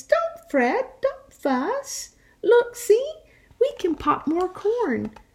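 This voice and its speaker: A woman puts on a squeaky character voice, extremely high in pitch, speaking at a very slow pace with very wide pitch swings. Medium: read story.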